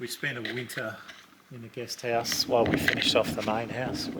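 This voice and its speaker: A man with an Australian accent over noticeable background noise. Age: 60s. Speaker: owner-builder, parent of the channel host. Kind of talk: casual home tour chat.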